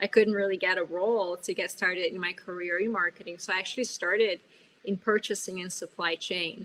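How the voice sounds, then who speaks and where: A woman with a Portuguese accent, bright and sharp in tone, with fairly even intonation at a fairly quick pace. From Brazil, São Paulo. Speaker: business executive and speaker. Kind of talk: webinar presentation. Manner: loud.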